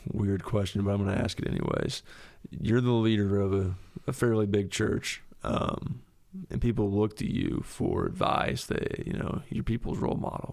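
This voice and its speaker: An unremarkable speaking voice, this man's is fairly low in pitch, with ordinary pitch variation and a moderate pace. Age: 20s. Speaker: church podcast host. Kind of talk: casual chat.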